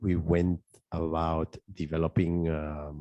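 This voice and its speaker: A man with a non-native accent speaks at a very slow pace in a very deep, low pitch with a dark, mellow tone. His intonation is monotone and flat, with a dry, close sound and no echo. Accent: foreign. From South America. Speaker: conference panelist, off-grid solar engineer. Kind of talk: panel discussion. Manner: halting, many repetitions.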